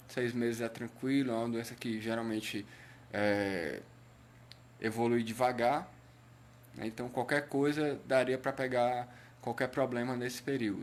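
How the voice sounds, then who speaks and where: With long, frequent pauses, a man speaks fairly slowly at a medium pitch and with fairly even intonation. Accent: Cearense. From Brazil, Ceará. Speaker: patient advocate / health live streamer. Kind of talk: live stream talk. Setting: Facebook live stream. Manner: hesitant, many fillers.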